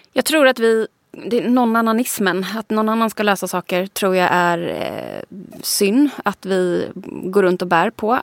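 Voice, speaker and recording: A woman speaks in a plain, everyday voice at a medium pitch with ordinary pitch variation and a fairly slow pace. The recording is very clean with a silent background, and the sound is dry and close with no echo. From Sweden, Småland. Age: 30s. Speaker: digital strategist and author. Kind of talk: interview conversation. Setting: studio.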